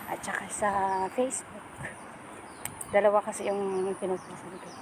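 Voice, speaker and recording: A woman speaks with monotone, flat intonation. There is noticeable background noise. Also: medium pitch for a woman, moderate pace. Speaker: vlogger. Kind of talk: casual vlog talk to camera. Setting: outdoors walking.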